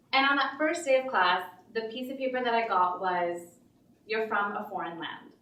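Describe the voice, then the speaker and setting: In an American accent, a woman talks at a moderate pace with lively intonation. Her pitch is fairly high, and the room echo is audible. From Pakistan, then Texas and Connecticut. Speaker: open mic storyteller. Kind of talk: storytelling performance. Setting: stage with audience. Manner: casual, with many fillers.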